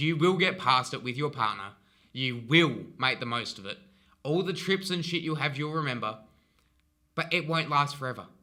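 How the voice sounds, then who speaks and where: A man with an Australian accent speaks at a fairly high pitch, his tone bright and sharp and his pitch varying in an ordinary way. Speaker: relationship advice vlogger. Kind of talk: casual advice monologue. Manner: animated; fast.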